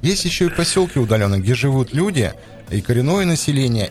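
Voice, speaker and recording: Over music in the background, a man speaks at a fairly quick pace in a medium pitch, with very wide pitch swings. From Yamal, Russian Far North. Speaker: podcast co-host. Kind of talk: casual chat.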